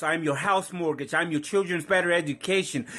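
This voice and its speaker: Using a Puerto Rican accent, a man speaks at a high pitch with ordinary pitch variation. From Puerto Rico. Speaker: spoken word poet. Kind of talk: spoken word poetry performance.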